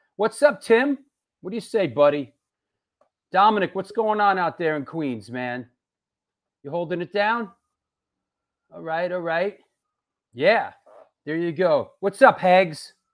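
Speaking at a fairly slow pace over a quiet background, the voice has lively intonation, big swings in loudness, and long, frequent pauses. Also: man. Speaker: show host. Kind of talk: livestream show host chat. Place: home room. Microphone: earbuds.

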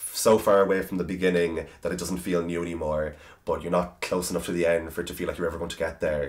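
A man with a very deep, low pitch talks at a very fast pace in a monotone, flat intonation. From Ireland, County Cavan. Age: 20s. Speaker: author. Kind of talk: interview answer. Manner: casual, chatty. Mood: warm, self-deprecating, animated. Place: home room.

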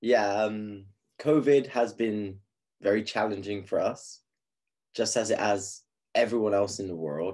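Against a quiet background, a man with an English accent and a fairly low pitch talks at a fairly slow pace with ordinary pitch variation and long, frequent pauses. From England. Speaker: teacher. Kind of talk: conference presentation. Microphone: webcam.

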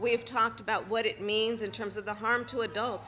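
A woman speaks with a bright, sharp tone and vocal fry. Light background noise can be heard. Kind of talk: public speech. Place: street. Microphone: podium.

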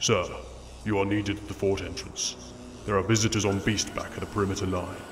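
A man puts on a robotic, gravelly character voice, fairly low in pitch, talking at a very fast pace over clear background noise. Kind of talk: formal, military.

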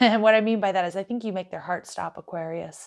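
This woman speaks at a fairly quick pace. Her intonation stays fairly even. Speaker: tarot reader. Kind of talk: tarot reading commentary.

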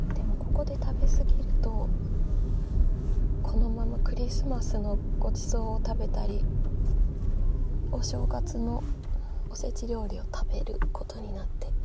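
Loud background noise sits behind a woman speaking at a fairly slow pace with long, frequent pauses. The sound is dry with no echo. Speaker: ASMR vlogger. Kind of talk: ASMR whisper talk about seasonal sweets and dieting. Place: car.

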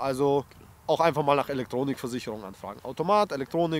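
A man's medium-pitched voice at a fast pace. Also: ordinary pitch variation.

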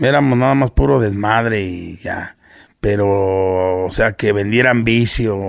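Against a quiet background, a man speaks very slowly in a fairly low voice with ordinary pitch variation. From Mexico, Nezahualcóyotl (State of Mexico), born in Guerrero; State of Mexico. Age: 40s. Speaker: internet personality, businessman; podcast guest or host. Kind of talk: casual interview chat. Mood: relaxed, humorous. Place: studio. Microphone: studio mic.

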